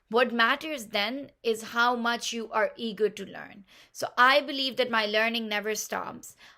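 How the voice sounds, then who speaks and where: A woman speaks with a Pashto accent. Her tone is bright and sharp, her pitch fairly high. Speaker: game platform founder. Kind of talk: pitch talk. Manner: enthusiastic.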